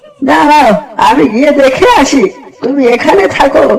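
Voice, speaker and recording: This cartoonish character voice is high-pitched. It moves at a fairly slow pace. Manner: calm, reassuring.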